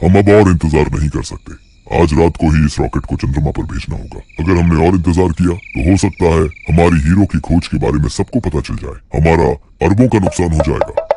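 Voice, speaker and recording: A man's cartoonish character voice, very deep and low, at a fairly quick pace with ordinary pitch variation. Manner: conspiratorial.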